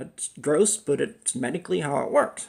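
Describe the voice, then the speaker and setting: Vocal fry runs through this man's voice. He speaks at a moderate pace with very wide pitch swings. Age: 50s. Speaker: cannabis educator, chronic pain patient. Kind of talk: casual video monologue. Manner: halting.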